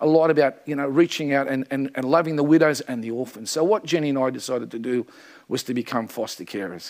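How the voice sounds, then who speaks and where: In a normal speaking voice, a man talks at a fairly quick pace with lively intonation and fairly high pitch. The recording is very clean, with a silent background. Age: 50s. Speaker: church speaker, adoptive father. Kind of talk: testimony.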